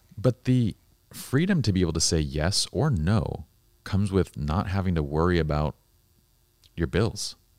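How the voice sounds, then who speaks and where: A man with a very deep, low voice speaks in an animated tone, leaving long, frequent pauses. The sound is dry and close, with no echo. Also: lively intonation, moderate pace. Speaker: podcast host. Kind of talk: casual interview conversation. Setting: studio. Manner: animated, casual.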